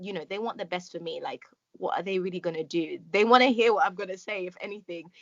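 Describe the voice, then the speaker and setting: Her loudness rises and falls in big swings. The woman speaks at a very fast pace. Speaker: podcast host. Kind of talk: casual chat. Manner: calm.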